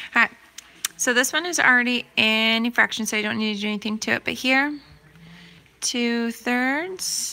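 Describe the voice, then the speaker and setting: A woman with a high pitch and a bright, sharp tone speaks with ordinary pitch variation and long, frequent pauses. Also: moderate pace. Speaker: math teacher. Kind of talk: tutorial.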